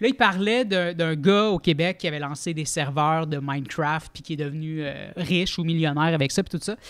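A man talks at a moderate pace. Behind him, the background stays quiet. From Quebec. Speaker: comedian podcast co-host. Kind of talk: casual chat. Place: studio. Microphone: studio mic.

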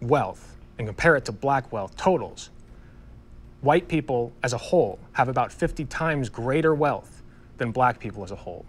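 At a moderate pace, a man speaks in an ordinary speaking voice of medium pitch, with ordinary pitch variation. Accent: American. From US Midwest, Ohio. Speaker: debate panelist. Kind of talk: debate.

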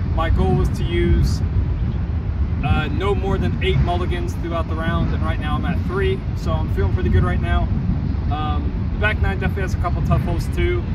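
A man at a fairly quick pace with ordinary pitch variation, dry sound with no echo, and loud background noise. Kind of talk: casual vlog chat. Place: open country.

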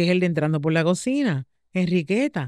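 A woman speaks at a moderate pace in a Puerto Rican accent. The sound is dry with no echo, and the background is quiet. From Puerto Rico. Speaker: podcast host. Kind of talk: casual interview chat. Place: studio. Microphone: studio mic.

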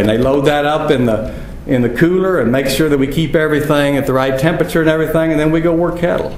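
Noticeable background noise and audible room echo fill the recording. A man talks at a fairly high pitch with ordinary pitch variation. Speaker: rancher. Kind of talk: conference talk.

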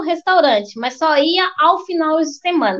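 Extremely high-pitched woman's voice with a Minas Gerais accent, a fairly slow pace and a quiet background. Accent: Brazilian Portuguese, mineiro. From Belo Horizonte, Minas Gerais, Brazil. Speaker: restaurant owner, immigrant entrepreneur. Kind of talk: interview. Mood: animated, expressive storytelling. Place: home room. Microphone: video call.

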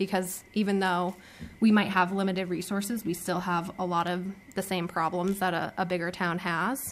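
A woman's fairly even intonation over light background noise. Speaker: council member. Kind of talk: deliberation remarks at a public meeting. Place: meeting room. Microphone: podium.

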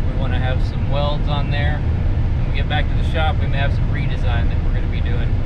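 A man at a fairly quick pace amid loud background noise. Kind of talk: casual vlog chat. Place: car. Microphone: camera far.

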